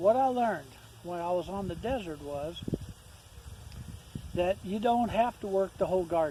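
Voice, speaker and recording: A man with an American accent speaks at a high pitch with ordinary pitch variation and long, frequent pauses. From Ohio, then Arizona (Tucson) from age 15. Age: 60s. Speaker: homesteader. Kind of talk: casual vlog talk. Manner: hesitant, many fillers and repeats.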